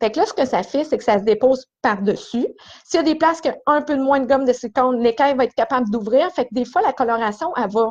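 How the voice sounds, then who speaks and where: Against a quiet background, a woman with a Quebec accent talks very fast at high pitch with lively intonation. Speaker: hairdresser. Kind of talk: live stream tutorial. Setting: small esthetics cabin in salon. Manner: casual.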